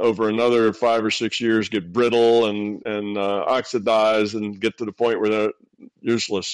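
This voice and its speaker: An unremarkable speaking voice at a moderate pace. The sound is dry and close, with no echo. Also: man. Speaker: consciousness explorer and teacher. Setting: online video call with audience questions.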